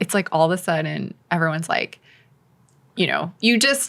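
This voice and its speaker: A woman speaks in a bright, sharp tone. Her intonation is lively and her pace moderate. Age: 40s. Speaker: wellness entrepreneur, former press secretary. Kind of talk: casual interview chat. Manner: casual, filler-heavy (like, you know).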